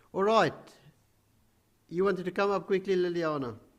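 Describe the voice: A man with a high-pitched voice moves at a moderate pace, his pitch varying in an ordinary way.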